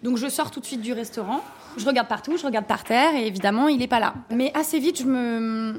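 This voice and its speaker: The woman speaks at a fairly quick pace. Her high pitch shows ordinary variation. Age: 30s. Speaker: restaurant owner. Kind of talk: interview.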